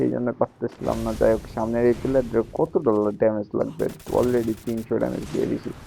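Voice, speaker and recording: A quiet man's voice with music in the background. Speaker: gaming YouTuber. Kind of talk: gameplay commentary voiceover. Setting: at home, late night. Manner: speaking quietly.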